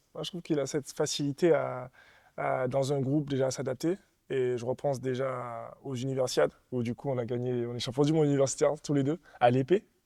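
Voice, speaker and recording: Over a quiet background, a man with a dark, mellow tone speaks at a fairly quick pace and with fairly even intonation. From Martinique. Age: 20s. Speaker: fencer. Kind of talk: interview.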